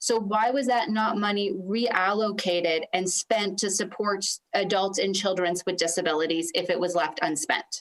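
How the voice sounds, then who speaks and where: Speaking at a moderate pace with hardly any pauses, a woman has a normal speaking voice at medium pitch, with ordinary pitch variation and very even loudness. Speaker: opposition legislator. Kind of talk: committee questioning.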